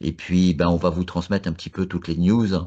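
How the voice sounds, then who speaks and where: A man's very deep, low voice in a monotone, flat intonation over a quiet background. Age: 60s. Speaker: tech expert. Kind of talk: panel discussion. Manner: halting.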